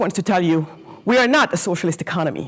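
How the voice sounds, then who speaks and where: A woman is speaking. Her tone is animated. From Senegal, raised partly in Germany. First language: not English; English is her fourth language. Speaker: entrepreneur, guest speaker. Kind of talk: talk to students. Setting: lecture hall with student audience. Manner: occasionally stumbling over words; animated, interactive.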